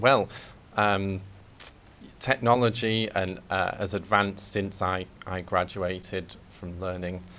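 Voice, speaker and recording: At a very slow pace with long, frequent pauses, a man with a Mancunian accent speaks in a very deep, low voice with a bright, sharp tone, vocal fry and ordinary pitch variation. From Manchester, England. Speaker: English teacher. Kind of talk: podcast interview. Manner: hesitant, many fillers.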